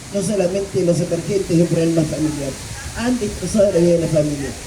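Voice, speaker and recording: A woman's voice with audible room echo and noticeable background noise. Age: 60s. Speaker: addiction therapist speaking at political meeting. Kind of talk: public speech at community political meeting.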